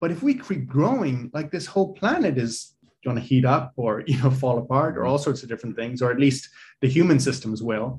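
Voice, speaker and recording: At a fairly quick pace, a man speaks with a medium pitch, ordinary pitch variation and a somewhat breathy voice. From Ireland (Dublin), childhood also in Africa. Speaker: executive coach and entrepreneur. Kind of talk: casual interview.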